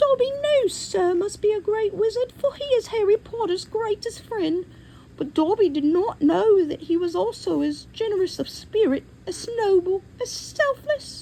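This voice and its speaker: A put-on character voice, squeaky and extremely high in pitch, speaks at a moderate pace. Clear background noise can be heard. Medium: read story. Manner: deferential, speaks of himself by name, broken grammar.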